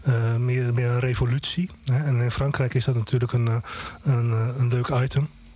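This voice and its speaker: A man speaks at a moderate pace with a dark, mellow tone. His voice is somewhat breathy, with fairly even intonation. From Groningen, Netherlands. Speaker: music blogger and reporter. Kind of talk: casual chat. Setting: studio.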